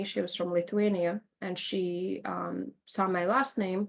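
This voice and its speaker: The speaker has a Latvian accent and a fairly slow pace. Intonation stays fairly even. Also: woman. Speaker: interviewee sharing life story. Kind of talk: podcast interview. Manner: conversational with fillers.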